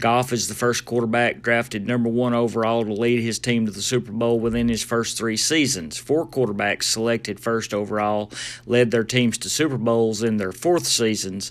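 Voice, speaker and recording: Speaking at a moderate pace with hardly any pauses, a man keeps a medium pitch and fairly even intonation. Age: 50s. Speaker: podcast host. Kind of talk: casual solo podcast. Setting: mobile studio.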